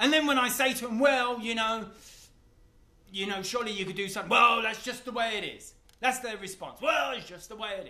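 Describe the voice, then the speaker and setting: Amid noticeable background noise and audible room echo, a man uses a raised, projected voice at an extremely high pitch, speaking at a fairly quick pace with lively intonation. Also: big swings in loudness. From England, East London. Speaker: vlogger. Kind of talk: casual monologue to camera. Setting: self-filmed video, camera on a ladder.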